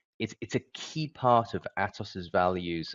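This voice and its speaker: The speaker has a British accent. The pitch varies in an ordinary way. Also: man. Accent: British, with some American terms. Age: 40s. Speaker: business leader. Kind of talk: event presentation.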